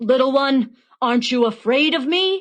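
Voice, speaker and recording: A put-on character voice growls at a high pitch. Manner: snarling, menacing.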